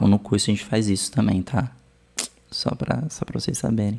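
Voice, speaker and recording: A man talks in a fairly low pitch. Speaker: art history teacher reacting to video. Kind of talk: casual video commentary. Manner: slow.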